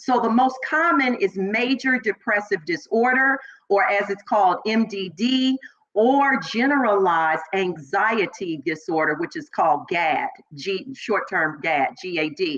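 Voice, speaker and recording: Her tone animated, a woman talks at a fairly slow pace and medium pitch, her voice making very wide pitch swings. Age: 50s. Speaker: talk show host. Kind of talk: online talk show monologue.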